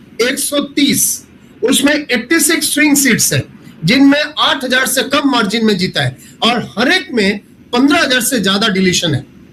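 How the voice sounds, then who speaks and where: Raising and projecting his voice, a man speaks at an extremely high pitch with lively intonation. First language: not Hindi (speaking Hindi). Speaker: professor, election data analyst. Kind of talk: panel discussion analysis. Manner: halting, many fillers.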